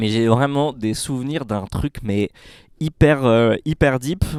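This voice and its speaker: Recorded very cleanly against a silent background, a man talks at a medium pitch with ordinary pitch variation, the sound dry and close with no echo. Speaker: podcast panelist. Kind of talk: casual chat. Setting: cinema room. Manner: animated.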